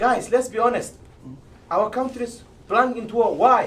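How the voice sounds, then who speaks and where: A man speaks at a moderate pace in a high pitch, with noticeable background noise around him. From Somalia. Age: old. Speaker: debate panelist. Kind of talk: political debate.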